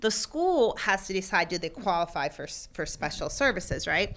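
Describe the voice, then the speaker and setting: On a very clean recording with a silent background, a woman with an American accent speaks at a medium pitch and moderate pace, her tone bright and sharp and her intonation lively. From Pennsylvania. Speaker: learning center owner, former teacher. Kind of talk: interview. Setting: on location at her business.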